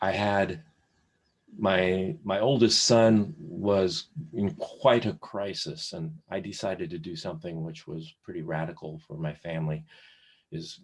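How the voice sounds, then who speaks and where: A man talks with ordinary pitch variation. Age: 60s. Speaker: therapist. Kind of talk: casual interview. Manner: halting, many fillers.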